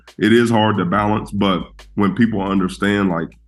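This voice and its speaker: Fairly quick speech from a man with a fairly low pitch and fairly even intonation, music in the background. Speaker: college basketball coach. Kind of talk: podcast interview. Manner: talkative, conversational.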